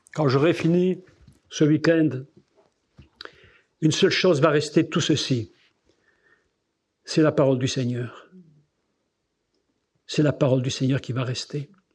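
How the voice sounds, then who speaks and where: Delivered at a fairly slow pace with long, frequent pauses, the voice is somewhat breathy and carries a slight Belgian accent. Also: man, fairly high pitch for a man. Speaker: preacher. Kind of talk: sermon. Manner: animated.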